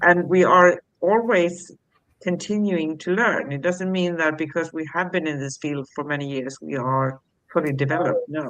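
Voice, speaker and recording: With a normal speaking voice, a woman talks at a moderate pace in a fairly low pitch, using ordinary pitch variation. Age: 60s. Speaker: spiritual talk show co-host. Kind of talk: casual chat.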